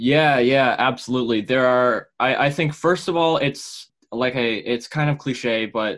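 A man speaks with an American accent at a moderate pace and medium pitch. His pitch variation is ordinary, and the recording is very clean with a silent background. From Massachusetts, north of Boston. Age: young. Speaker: mental health activist. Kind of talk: interview. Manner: halting, many repetitions and fillers.

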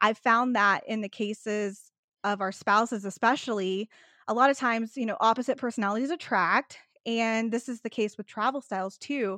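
Bright and sharp in tone, a woman speaks with a Texan accent at a fairly high pitch and a moderate pace. Her intonation is fairly even, and the sound is dry and close with no echo over a quiet background. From Texas. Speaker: vacation planner. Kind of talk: casual interview chat.

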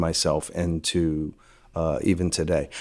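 This man talks with a Louisiana accent. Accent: Louisiana Southern US. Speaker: film location manager. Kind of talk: casual interview.

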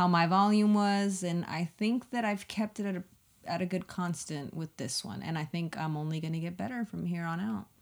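A woman with an American accent and a plain, everyday voice, fairly low in pitch, lively in intonation, at a moderate pace. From South Texas (Kingsville, near Corpus Christi). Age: 30s. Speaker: podcast co-host. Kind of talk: casual chat.

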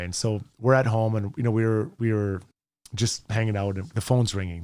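A man with an Albertan accent at a moderate pace, with ordinary pitch variation and a very clean recording over a silent background. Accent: Canadian (Alberta). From Edmonton, Alberta, Canada. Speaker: former pro hockey player, sports radio host. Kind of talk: casual interview chat. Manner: animated storytelling.

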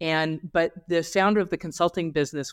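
A man speaks at a moderate pace with an American accent and fairly even intonation, in a normal speaking voice. The recording is very clean, with a silent background. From Los Angeles, California. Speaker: tech entrepreneur and education founder. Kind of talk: interview conversation.

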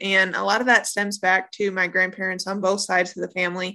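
A woman talks at a fairly quick pace. Her tone is bright and sharp, at a medium pitch. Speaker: podcast host. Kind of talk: casual interview with grandparents. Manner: friendly, warm, laughing.

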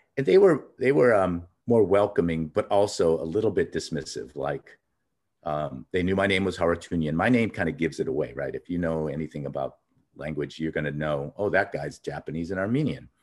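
Very deep and low, a man's voice moves with lively intonation at a fairly quick pace in a Californian accent. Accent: Californian American. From Los Angeles, US. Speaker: outdoor industry consultant. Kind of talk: interview conversation. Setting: at home in his childhood neighborhood.

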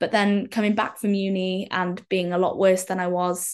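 At a moderate pace, a woman talks in a monotone, flat intonation at a medium pitch. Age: 20s. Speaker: person with muscular dystrophy. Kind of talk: casual chat.

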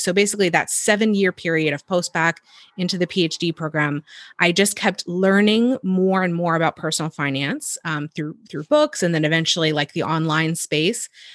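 In a plain, everyday voice, a woman speaks at a fairly low pitch and a moderate pace with ordinary pitch variation, against a quiet background, the sound dry and close with no echo. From northern Virginia, US. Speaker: personal finance educator. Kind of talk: casual interview conversation. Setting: video call.

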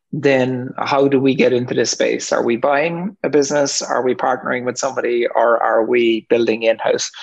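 A man in an Irish accent, medium-pitched, at a moderate pace with hardly any pauses, fairly even intonation and very even loudness. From Ireland. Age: 50s. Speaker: entrepreneur. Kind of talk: interview. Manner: halting, many ums.

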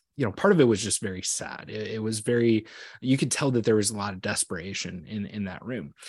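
A man with an American accent, fairly low-pitched, with ordinary pitch variation and big swings in loudness, over a quiet background. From US Midwest, southwest Iowa. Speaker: crop insurance sales manager and suicide prevention trainer. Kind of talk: podcast interview. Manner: halting, many fillers and repeated words.

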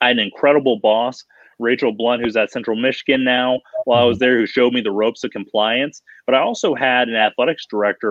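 At a very fast pace, a man with an American accent speaks at medium pitch with fairly even intonation. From Colorado. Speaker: college athletics compliance consultant. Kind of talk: interview conversation.

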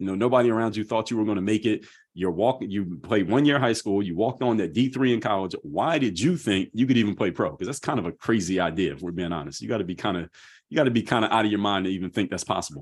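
An American-accented man talks at a very fast pace in a fairly low pitch. His tone is energetic, with lively intonation. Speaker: motivational speaker and author. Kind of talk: podcast interview.

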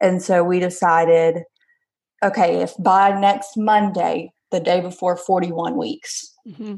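Medium pitch from a woman. She keeps her intonation fairly even. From Alabama. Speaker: stay-at-home mom, former teacher. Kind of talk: personal birth story interview.

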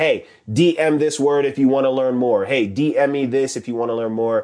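A man with an ordinary speaking voice, an American accent, fairly high pitch, fairly even intonation and a fairly quick pace. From New York. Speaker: social media coach. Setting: live audio room.

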